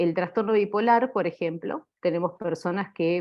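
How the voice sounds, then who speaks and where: A woman with a normal speaking voice talks fairly slowly in a fairly low pitch with ordinary pitch variation. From Argentina. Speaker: clinical psychologist. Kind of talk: lecture.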